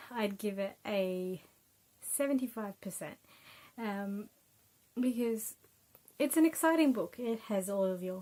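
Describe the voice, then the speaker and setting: A woman with an Australian accent, a dark, mellow tone, medium pitch and a moderate pace. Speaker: book reviewer, YouTuber. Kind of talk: casual book review. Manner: hesitant, many fillers.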